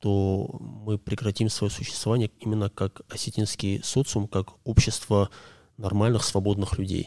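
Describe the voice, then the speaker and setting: On a very clean recording with a silent background and a dry, close sound with no echo, a man speaks at a moderate pace with a fairly low pitch, a dark, mellow tone and fairly even intonation. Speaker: podcast guest, commentator. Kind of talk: casual conversation.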